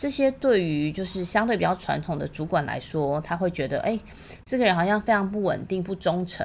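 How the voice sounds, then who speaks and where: A woman talks in an ordinary speaking voice at a medium pitch. Her pace is fairly quick and her intonation lively. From Taiwan. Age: 40s. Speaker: podcast host. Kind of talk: solo podcast monologue.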